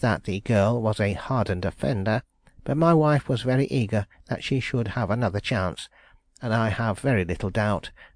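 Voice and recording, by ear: A man speaks in an ordinary speaking voice at medium pitch. His pace is moderate, and the background is quiet.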